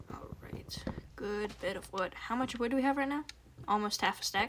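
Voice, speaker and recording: A woman speaks quietly at a moderate pace, her fairly high pitch showing ordinary variation. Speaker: gaming streamer. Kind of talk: live gameplay stream chat.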